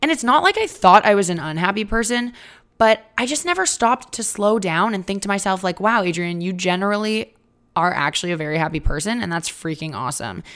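With lively intonation, a woman speaks at a fairly quick pace in a medium pitch. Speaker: podcast host. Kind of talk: solo podcast monologue. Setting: recording at a relative's home. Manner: animated.

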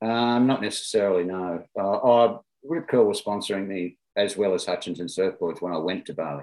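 In an Australian accent, a man with a fairly low pitch talks at a moderate pace with hardly any pauses. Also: ordinary pitch variation. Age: 60s. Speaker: former pro surfer and writer. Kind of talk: interview. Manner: halting.

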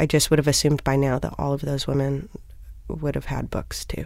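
A woman speaks on a very clean recording, silent background. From US Midwest, Minneapolis. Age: 30s. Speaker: music critic and editor. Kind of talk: interview. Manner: halting, many restarts.

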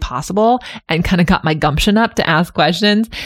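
In a Californian accent, a woman talks at a fairly quick pace with ordinary pitch variation. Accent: Californian American English. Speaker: podcast host and Pilates instructor. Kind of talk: interview.

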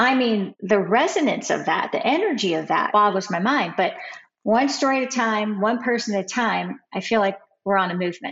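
Speaking at a fairly quick pace, a woman with an ordinary speaking voice uses lively intonation at a fairly high pitch. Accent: American. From Ohio, US. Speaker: writer, former criminal defense lawyer. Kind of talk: interview.

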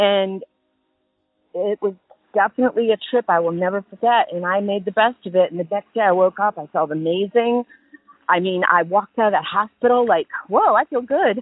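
An ordinary speaking voice from a woman, medium in pitch with ordinary pitch variation, at a fairly quick pace. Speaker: caller. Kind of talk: telling a story. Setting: phone call.

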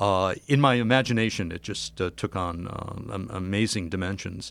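A normal speaking voice from a man, fairly low in pitch with ordinary variation, at a moderate pace. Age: 60s. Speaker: cultural historian and author. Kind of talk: casual chat.

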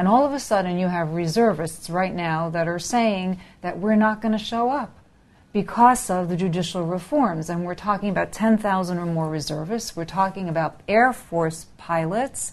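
A woman speaks in an unremarkable speaking voice at a medium pitch. Her pace is moderate and her pitch variation ordinary. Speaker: news editor. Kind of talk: interview. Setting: studio.

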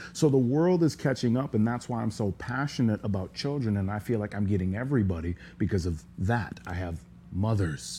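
Somewhat breathy, dark, mellow speech in an American accent, with very wide pitch swings at a moderate pace. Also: man. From US Upper Midwest, small town in Minnesota. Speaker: professional fighter. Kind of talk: interview. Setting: studio.

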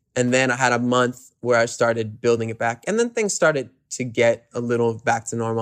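A man with an American accent talks at a fairly quick pace in a medium-pitched, unremarkable speaking voice. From New York City. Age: 20s. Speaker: singer-songwriter. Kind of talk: casual chat.

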